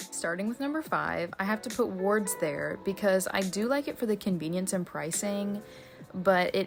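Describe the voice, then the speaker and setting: Over music in the background, a woman with an American accent talks at a medium pitch. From United States. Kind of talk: casual talk to camera.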